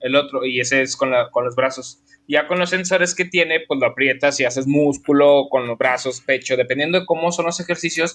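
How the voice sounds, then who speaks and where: A man with a Mexican accent speaks at a fairly high pitch with ordinary pitch variation and a bright, sharp tone against a quiet background. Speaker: podcast co-host. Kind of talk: casual chat.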